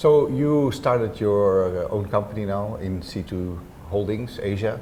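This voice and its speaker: A man talks at a fairly slow pace with a fairly low pitch and a dark, mellow tone. Audible room echo surrounds his voice. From Netherlands. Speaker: interview host, lighting designer. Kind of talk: interview. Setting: co-working office.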